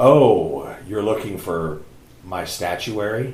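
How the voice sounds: With slight echo, a man does a put-on character voice at a fairly low pitch, speaking at a very slow pace with lively intonation.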